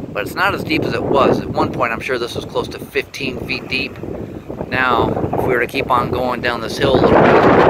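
A man speaks at a fairly quick pace. Loud background noise fills the recording, which is dry with no echo. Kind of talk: casual vlog chat. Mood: amazed, relaxed. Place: waterside. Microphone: phone near.

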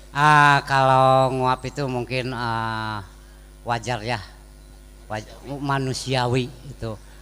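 A man with a monotone, flat intonation. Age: 80s+. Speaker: veteran actor and community elder; guest. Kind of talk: religious talk show interview. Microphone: handheld.

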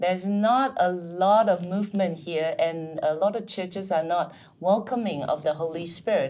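At a moderate pace and with hardly any pauses, a woman speaks at a medium pitch with ordinary pitch variation. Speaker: pastor. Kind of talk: casual chat. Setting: studio. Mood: earnest, warm, devotional. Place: studio.

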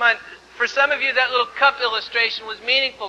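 Against light background noise, a man uses a raised, projected voice at a fairly quick pace with fairly even intonation. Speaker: pastor. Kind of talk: church sermon, revival ministry. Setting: live church service. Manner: fervent, exhorting. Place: church.

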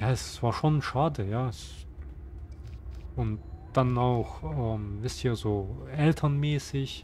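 Speaking very slowly at a medium pitch, the man swings his pitch very widely and leaves long, frequent pauses, with audible room echo around him. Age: 30s. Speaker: gaming YouTuber. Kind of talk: casual monologue to viewers. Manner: halting, many fillers and repetitions.

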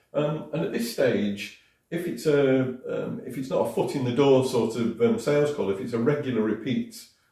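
A man speaks at a moderate pace. The room echo is audible, though the background is quiet. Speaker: sales trainer. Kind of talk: tutorial. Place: home room. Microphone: camera far.

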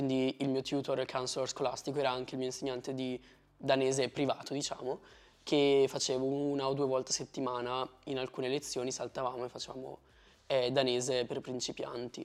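A man talks at a fairly quick pace with monotone, flat intonation. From Italy. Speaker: former exchange student. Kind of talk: interview. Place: studio. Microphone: lapel.

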